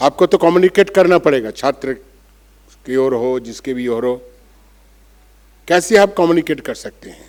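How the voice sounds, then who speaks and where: With a Bengali accent and a fairly high pitch, a man speaks with lively intonation and long, frequent pauses. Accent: Bengali-accented Hindi. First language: Bengali (speaking Hindi). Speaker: monk. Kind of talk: conference speech. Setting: auditorium with audience.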